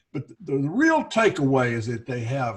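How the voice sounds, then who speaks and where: A man's somewhat breathy, fairly high-pitched voice. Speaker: investment advisor. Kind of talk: casual chat.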